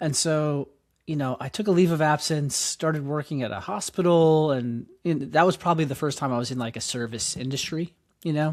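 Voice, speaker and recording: Very clean recording with a silent background. A man with a New York accent and fairly high pitch speaks at a fairly quick pace with ordinary pitch variation. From New York City (Queens). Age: 40s. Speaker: nonprofit founder and educator. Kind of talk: interview. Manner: halting, many fillers.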